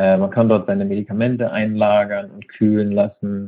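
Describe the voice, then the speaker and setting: A man with a fairly low pitch and fairly even intonation speaks in a plain, everyday voice. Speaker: festival accessibility manager, wheelchair user. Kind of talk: interview. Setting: phone call. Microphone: phone line, lower audio quality.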